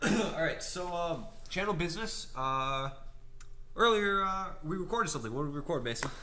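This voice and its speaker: Lively intonation carries the speech at a moderate pace, with audible room echo and noticeable background noise. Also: man, high pitch for a man. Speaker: podcast co-host. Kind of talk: casual chat. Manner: halting, many fillers.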